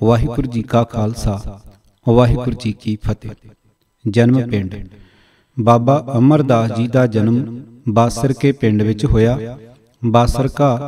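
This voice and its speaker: This man's tone is dark and mellow. His intonation stays fairly even. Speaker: audiobook narrator. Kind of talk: audiobook reading of religious history.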